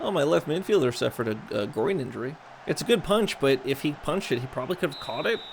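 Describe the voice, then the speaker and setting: A man's fairly high, animated voice with very wide pitch swings at a very fast pace. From US South, raised in US North. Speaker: gaming streamer. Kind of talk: gameplay commentary. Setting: live stream.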